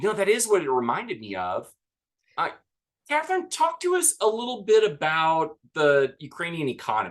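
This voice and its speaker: A man speaks with an American accent. His pitch swings very widely at a moderate pace. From US South. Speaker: podcast co-host. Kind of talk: casual chat.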